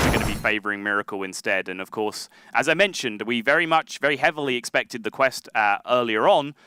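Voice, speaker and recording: A man with an English accent, medium-pitched and fairly quick, with lively intonation and a dry, close sound with no echo. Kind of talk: live commentary.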